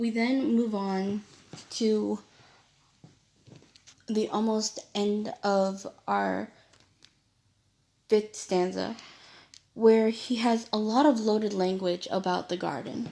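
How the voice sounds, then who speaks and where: The speech moves at a very slow pace with long, frequent pauses. Intonation stays fairly even. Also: woman, fairly high pitch for a woman. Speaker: student. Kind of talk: poem analysis presentation. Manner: hesitant, with stutters and fillers.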